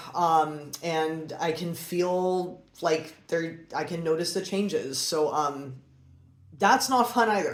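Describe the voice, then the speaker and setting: A woman's fairly low voice at a very slow pace, with ordinary pitch variation and audible room echo. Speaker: breast cancer survivor vlogger. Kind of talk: personal explainer monologue. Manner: hesitant, many fillers.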